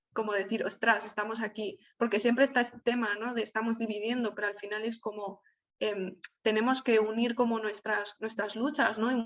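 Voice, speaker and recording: A woman talks at a moderate pace in a fairly high pitch with monotone, flat intonation. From Spain, Alicante (Valencian region). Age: 20s. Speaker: writer and journalist. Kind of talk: online talk. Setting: video call. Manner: hesitant with many fillers.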